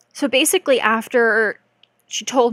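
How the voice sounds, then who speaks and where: A woman with an unremarkable speaking voice talks at fairly high pitch with ordinary pitch variation, the sound dry and close with no echo. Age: 20s. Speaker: streamer sharing cancer story. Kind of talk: live stream storytime. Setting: live stream.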